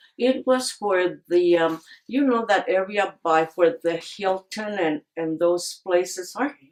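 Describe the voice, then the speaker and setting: Talking at a very slow pace with hardly any pauses, a woman uses a medium pitch and ordinary pitch variation. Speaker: oral history interviewee. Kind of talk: oral history interview.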